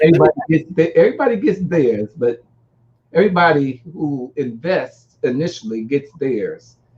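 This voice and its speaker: Somewhat breathy, a man speaks at a moderate pace. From US Northeast (Newark, New Jersey). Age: 60s. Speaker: music industry publicist and artist developer. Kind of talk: interview.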